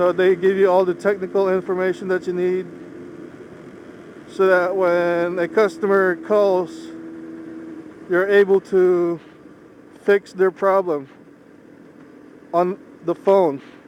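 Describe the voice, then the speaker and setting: Pausing long and often, a man with a Philippine accent speaks in a high-pitched, monotone, flat voice over noticeable background noise. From Philippines, moved to US at age 10. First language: Ilocano. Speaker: motorcycle vlogger. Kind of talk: casual vlog monologue while riding. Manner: measured, not fast.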